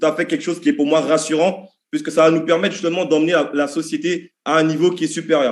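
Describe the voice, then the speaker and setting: A man's high-pitched voice at a fairly quick pace. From French Antilles. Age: 30s. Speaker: network marketing presenter. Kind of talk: sales pitch. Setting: video call. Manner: animated.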